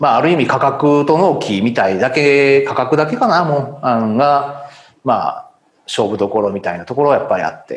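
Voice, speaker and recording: In an ordinary speaking voice, the speaker moves at a moderate pace with lively intonation. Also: man, fairly high pitch for a man. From Japan, Kanazawa, Ishikawa. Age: 50s. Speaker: company president. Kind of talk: interview.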